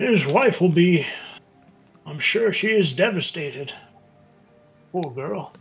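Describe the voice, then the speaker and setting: Putting on a character voice, a man talks high-pitched at a fairly slow pace, leaving long, frequent pauses. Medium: actual play. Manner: rambling, hesitant.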